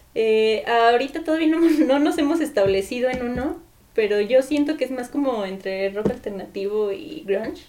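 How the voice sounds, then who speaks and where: Over noticeable background noise, a woman speaks with lively intonation in a high pitch at a moderate pace. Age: 20s. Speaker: architecture student and keyboardist. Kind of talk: casual chat.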